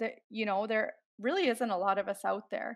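In a quiet background, a woman with a Canadian accent speaks at a fairly high pitch with ordinary pitch variation. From Canadian Prairies. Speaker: chicken farmer. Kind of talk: interview. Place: home room. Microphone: headset.

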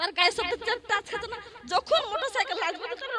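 The voice is raised and projected, with an animated tone. Its intonation is lively. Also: woman. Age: 40s. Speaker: female Islamic preacher. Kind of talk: religious sermon. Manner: animated, emphatic.

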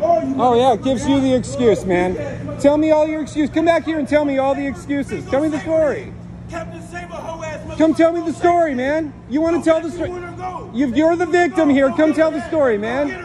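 Against crowd noise in the background, a man speaks at a fairly quick pace. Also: ordinary pitch variation. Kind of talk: confrontational street taunting. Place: street. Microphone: phone near.

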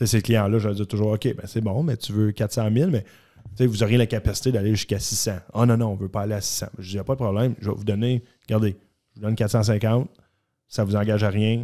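Speaking at a fairly quick pace against a quiet background, a man uses a fairly low pitch, a dark, mellow tone and fairly even intonation. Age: 30s. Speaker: mortgage specialist, former junior hockey player; guest. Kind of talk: casual interview chat. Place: studio. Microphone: studio mic.

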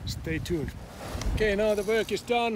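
A high-pitched man's voice with fairly even intonation, dry and echo-free, over noticeable background noise. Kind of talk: casual vlog chat. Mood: calm, matter-of-fact. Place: boat. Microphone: phone near.

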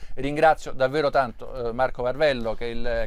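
A man rattles along at a very fast pace in a monotone, flat delivery. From Italy. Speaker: TV news presenter. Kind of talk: live news broadcast. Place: street. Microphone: lapel.

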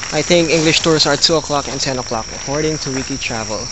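The voice sounds dry with no echo, set against loud background noise. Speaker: travel vlogger. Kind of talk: casual vlog chat. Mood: amused, a bit frustrated. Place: open country. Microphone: phone near.

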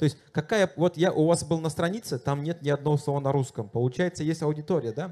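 A man with a fairly high pitch and a dark, mellow tone talks at a very fast pace with hardly any pauses. His pitch varies in an ordinary way. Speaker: moderator, TV journalist. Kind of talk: panel moderation. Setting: festival stage with audience. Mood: friendly, light joking. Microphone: handheld.

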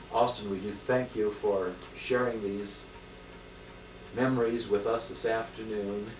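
Amid noticeable background noise, a man speaks at a fairly slow pace with long, frequent pauses. His intonation stays monotone and flat. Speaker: interviewer. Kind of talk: polite oral history interview. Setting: home interview. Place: home room. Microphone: old recording.

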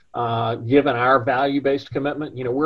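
A man speaks with fairly even intonation and a somewhat breathy voice. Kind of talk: interview answer. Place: office. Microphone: video call.

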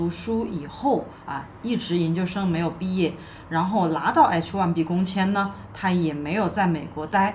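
Against light background noise, a woman with a fairly low pitch speaks at a fairly slow pace with ordinary pitch variation. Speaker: immigration consultant host. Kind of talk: commentary. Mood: calm, serious.

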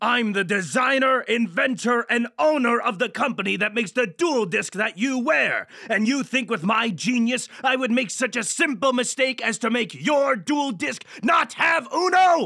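With lively intonation, a man speaks in a raised, projected voice at a moderate pace and an extremely high pitch. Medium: comedy sketch. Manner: haughty, exasperated, shouting.

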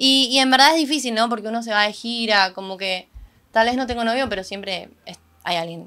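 Fairly high-pitched woman's voice, bright and sharp in tone, at a moderate pace with ordinary pitch variation. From Argentina. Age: 20s. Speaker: singer-songwriter; guest. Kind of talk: casual interview. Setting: event venue. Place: studio. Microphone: studio mic.

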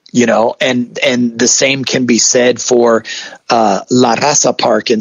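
An ordinary speaking voice with an American accent moves at a fairly slow pace. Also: man. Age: 40s. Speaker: college professor and lowrider enthusiast. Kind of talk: interview. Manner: casual, many fillers like you know.

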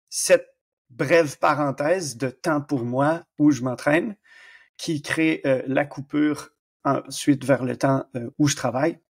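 Recorded very clean with a silent background and a dry, close sound with no echo, a fairly high-pitched man speaks very slowly with a slight Canadian French accent. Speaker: exercise physiologist. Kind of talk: podcast interview. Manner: animated, lively.

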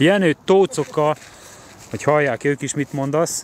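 Very slowly, a man speaks at a fairly high pitch with ordinary pitch variation, the sound dry with no echo and light background noise. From Hungary. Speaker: fishing competition organizer and vlogger; vlogger. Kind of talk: live walkaround vlog. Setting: outdoors at a fishing lake. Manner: casual, chatty greetings. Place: waterside. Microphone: phone near.

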